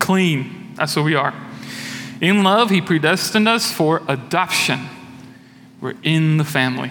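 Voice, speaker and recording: A man's fairly high, lively voice at a fairly slow pace, broken by long, frequent pauses, over noticeable background noise. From Brazil. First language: Portuguese. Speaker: church elder, lay preacher. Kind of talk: sermon. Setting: church.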